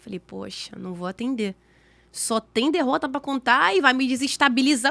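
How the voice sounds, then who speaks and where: A woman's raised, projected voice, high-pitched and animated, with a bright, sharp tone, lively intonation and a fairly quick pace, on a very clean recording with a silent background and a dry, close sound with no echo. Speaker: podcast guest sharing faith story. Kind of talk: testimony. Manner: fast.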